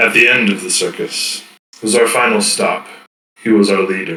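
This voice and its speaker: Doing a put-on character voice at a medium pitch, a man speaks at a moderate pace, with slight echo. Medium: actual play. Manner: formal, archaic phrasing; terse, guarded.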